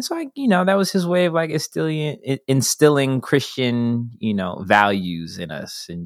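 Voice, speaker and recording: A Californian accent at a moderate pace, with very wide pitch swings, a dry, close sound free of echo and a very clean recording over a silent background. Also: man. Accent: Californian American English. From Los Angeles. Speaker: filmmaker, actor and activist. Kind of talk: casual interview chat.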